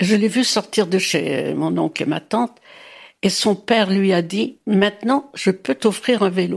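A woman's medium-pitched voice with vocal fry, fairly slow pace and ordinary pitch variation, in a very clean recording with a silent background. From Brittany, Morbihan. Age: 90s. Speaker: grandmother telling her life story. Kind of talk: testimony. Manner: halting.

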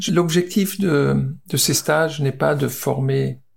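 This man's voice is somewhat breathy. His pitch sits fairly high. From Alsace, France. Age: 60s. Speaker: former footballer. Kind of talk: interview. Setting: on location.

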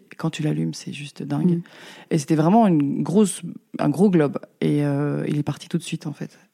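Though her pace is fairly quick, a woman leaves long, frequent pauses. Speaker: lamp designer. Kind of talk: interview. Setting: her workshop. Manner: hesitant, many fillers.

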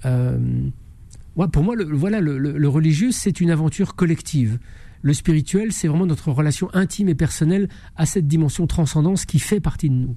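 Keeping a very even loudness, a man speaks at a fairly quick pace with a fairly high pitch, ordinary pitch variation and a dark, mellow tone. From France. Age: 50s. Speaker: investigative journalist and author. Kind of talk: radio interview.

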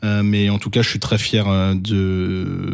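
This man speaks with a fairly low pitch. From Alsace, France. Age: 30s. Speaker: youth basketball coach. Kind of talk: interview.

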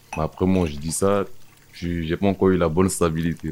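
Very deep, low male voice against noticeable background noise. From outside France, arrived at 17. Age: 30s. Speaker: former prisoner, waiter. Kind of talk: personal testimony interview. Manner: halting, repeats words.

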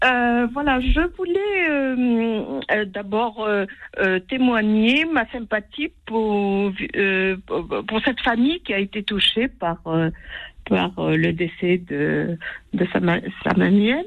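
Her fairly high pitch and lively intonation carry through as this woman speaks at a very slow pace. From France. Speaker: caller. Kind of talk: call-in. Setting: phone call.

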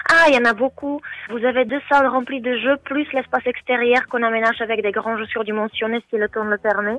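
A woman talks at a moderate pace in a fairly high voice. Her intonation stays fairly even. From Czech Republic. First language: Czech (speaking French). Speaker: hotel manager. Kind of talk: radio interview.

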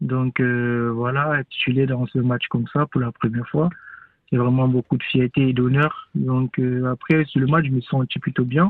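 At a fairly slow pace, a man speaks in a normal speaking voice, medium in pitch with fairly even intonation. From Cameroon. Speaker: professional footballer. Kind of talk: radio interview.

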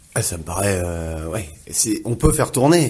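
With lively intonation, a man talks at a fairly slow pace as music plays in the background. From Le Havre, Normandy, France. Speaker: sports journalist. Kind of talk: casual sports discussion.

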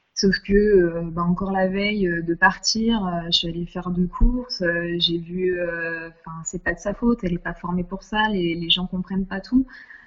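Over noticeable background noise, a woman speaks at a medium pitch. Her intonation is fairly even and her pace moderate. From southern France, Nice. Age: 30s. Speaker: intensive care nurse. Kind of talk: interview. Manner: hesitant, many fillers.

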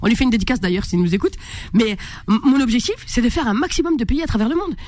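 A woman's animated voice with very wide pitch swings against noticeable background noise. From France, Maghrebi family. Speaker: comedian. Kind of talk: radio interview. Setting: radio studio.

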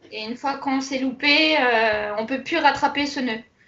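A woman's high-pitched voice, fairly even in intonation, at a moderate pace. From Alsace, France. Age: young. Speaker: embroidery entrepreneur. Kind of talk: interview.

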